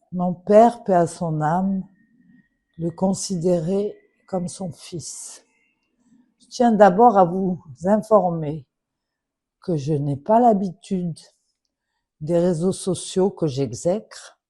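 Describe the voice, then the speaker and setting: A woman with a dark, mellow, somewhat breathy tone and medium pitch speaks at a very slow pace with ordinary pitch variation and long, frequent pauses. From Morocco. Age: 70s. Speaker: daughter of a late official. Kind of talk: public appeal. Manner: formal.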